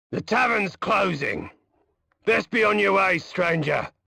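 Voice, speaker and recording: A man puts on a character voice that is raspy and high in pitch. He uses a raised, projected voice at a fairly slow pace. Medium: video game. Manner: gruff, wary.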